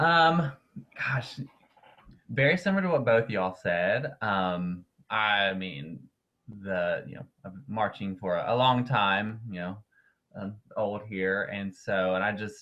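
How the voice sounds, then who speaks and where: With a Southern US accent, a man with a fairly low voice talks at a very slow pace, with long, frequent pauses, lively intonation and big swings in loudness. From North Carolina. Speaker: winterguard performer and educator. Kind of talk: casual interview. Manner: hesitant, many fillers.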